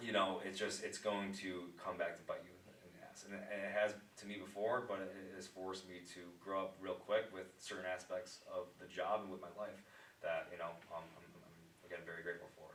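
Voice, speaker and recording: A man speaks at a fairly quick pace with big swings in loudness amid audible room echo. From upstate New York. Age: 20s. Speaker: pharmaceutical sales rep. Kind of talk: casual podcast interview. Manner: halting, many fillers and restarts.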